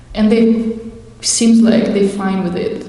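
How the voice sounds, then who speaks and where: Over noticeable background noise and audible room echo, a woman speaks with monotone, flat intonation. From Russia. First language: Russian. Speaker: Hare Krishna devotee. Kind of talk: testimony. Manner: halting.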